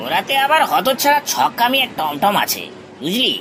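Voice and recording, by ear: A put-on character voice with very wide pitch swings and a bright, sharp tone. It moves at a moderate pace over faint background noise.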